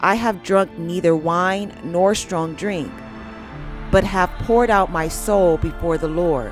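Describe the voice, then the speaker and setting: The speech moves at a very slow pace with ordinary pitch variation. Music plays in the background. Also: woman. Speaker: Bible narrator. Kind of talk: Bible story reading, meditation narration.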